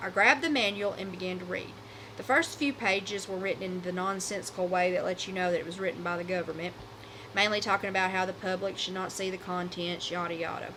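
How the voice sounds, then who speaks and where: This woman talks at a very fast pace with an American accent and a medium pitch. Her intonation is fairly even, and there is noticeable background noise. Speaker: podcast host. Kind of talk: horror story reading.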